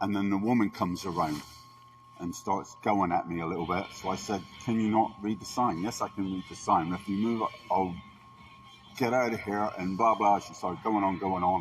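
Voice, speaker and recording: Noticeable background noise sits under a man speaking at a fairly low pitch. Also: ordinary pitch variation, moderate pace. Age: 60s. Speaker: complainant reporting an assault. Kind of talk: statement to police.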